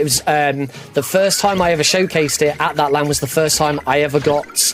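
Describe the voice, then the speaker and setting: A man speaks at a moderate pace with a fairly high pitch. Music plays in the background. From Britain. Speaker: speedrunner. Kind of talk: live commentary. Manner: halting.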